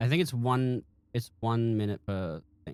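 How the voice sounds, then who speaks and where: A man with an Australian accent speaks at a medium pitch on a very clean recording with a silent background and a dry, close sound with no echo. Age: 20s. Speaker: streamer and game modder. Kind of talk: casual live stream chat. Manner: halting, many restarts and fillers.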